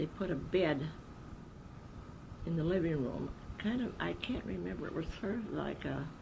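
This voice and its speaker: Pausing long and often, a woman with a very deep, low voice speaks at a moderate pace with very wide pitch swings and audible room echo. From Wisconsin, US Midwest. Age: 80s+. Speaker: elderly interviewee sharing memories. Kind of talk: oral history interview.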